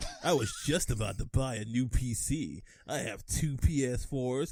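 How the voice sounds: The recording presents a natural reading voice.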